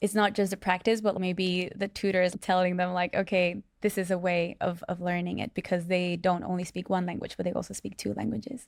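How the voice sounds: A woman talks at a fairly quick pace with few pauses and vocal fry. Her fairly low pitch shows little movement.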